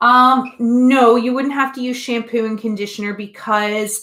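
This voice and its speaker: A woman with a normal speaking voice talks at a fairly slow pace and a fairly high pitch. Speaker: art teacher. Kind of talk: online class tutorial. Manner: casual.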